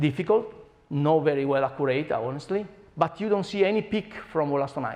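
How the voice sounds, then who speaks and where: A man with an Italian accent talks at a fairly quick pace in a fairly high pitch, his intonation lively. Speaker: scientist. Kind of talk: lecture. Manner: animated.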